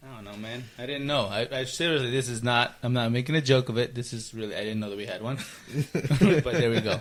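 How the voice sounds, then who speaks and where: A very fast man's voice with ordinary pitch variation and big swings in loudness, amid noticeable background noise. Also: medium pitch for a man. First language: Spanish. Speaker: podcast host. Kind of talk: casual chat.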